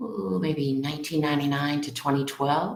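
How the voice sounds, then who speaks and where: In an American accent, a woman with a very deep, low pitch speaks amid audible room echo. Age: 60s. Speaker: elementary school English teacher. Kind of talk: casual interview.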